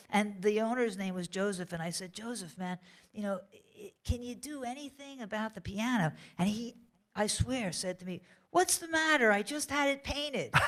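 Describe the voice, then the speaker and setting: A woman with an American accent has a normal speaking voice at a fairly high pitch, with big swings in loudness. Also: lively intonation, moderate pace. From Philadelphia, US. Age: 60s. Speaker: songwriter. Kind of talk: interview before audience. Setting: library stage with audience.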